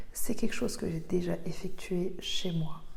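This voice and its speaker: Soft-spoken, a woman talks at a fairly slow pace. Her intonation stays fairly even. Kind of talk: ASMR craft video, chatting while painting.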